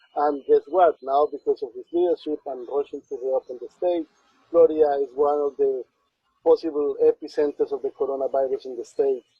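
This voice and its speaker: With a Spanish accent, a man talks at a fairly quick pace, his loudness swinging widely. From Colombia. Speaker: community organizer. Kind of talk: interview.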